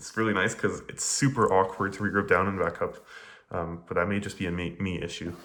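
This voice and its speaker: Amid audible room echo, a man with a very deep, low pitch and a bright, sharp tone talks at a very fast pace with fairly even intonation. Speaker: speedcuber explaining solves. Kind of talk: casual tutorial commentary.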